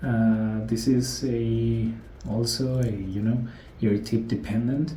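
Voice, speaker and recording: A man in a Spanish accent, somewhat breathy, with a dark, mellow tone and audible room echo. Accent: non-native English, Spanish-speaking. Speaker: gadget and audio reviewer. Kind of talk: casual product review. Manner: halting, many fillers.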